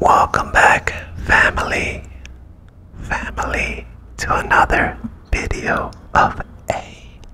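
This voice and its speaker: Over noticeable background noise, a man's whisper moves at a very slow pace. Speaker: content creator. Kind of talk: casual vlog chat. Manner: close cupped whisper into microphone. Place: home room. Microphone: studio mic.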